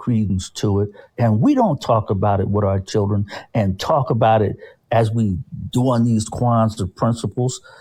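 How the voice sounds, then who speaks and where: A man's medium-pitched, somewhat breathy voice with a dark, mellow tone, very even loudness and a moderate pace, on a very clean recording with a silent background. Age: 60s. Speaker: community activist discussing Kwanzaa. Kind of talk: casual discussion. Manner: halting, repeats words.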